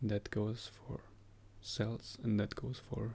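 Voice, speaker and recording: A man whispers at a very slow pace. Vocal fry runs through his voice. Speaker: health vlogger. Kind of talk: casual vlog monologue. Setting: home, early morning. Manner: whispering.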